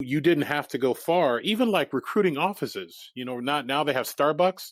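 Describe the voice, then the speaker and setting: The speech moves at a moderate pace with lively intonation on a very clean recording with a silent background. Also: man, fairly high pitch for a man. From Japan, then Iowa (US Midwest) from age 11. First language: Japanese. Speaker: entrepreneur and performer. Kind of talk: podcast interview.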